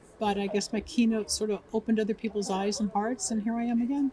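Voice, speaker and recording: A woman talks fairly quickly with ordinary pitch variation while noticeable noise carries on behind her. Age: 70s. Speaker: metaphysician and radio talk show host. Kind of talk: interview. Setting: awards event carpet interview.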